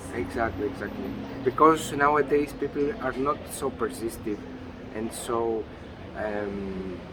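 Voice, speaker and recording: A man with a Greek accent at medium pitch, fairly slow pace and ordinary pitch variation amid noticeable background noise. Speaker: interviewee, husband and father. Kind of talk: interview. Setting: outdoors. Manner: halting.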